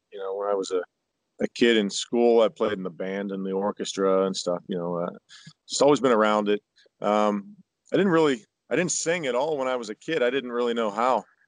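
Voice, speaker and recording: In a normal speaking voice with an American accent, a man talks at a fairly quick pace and medium pitch, with lively intonation and a dry, close sound with no echo. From Pittsburgh, Pennsylvania, US. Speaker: country singer. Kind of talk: interview conversation.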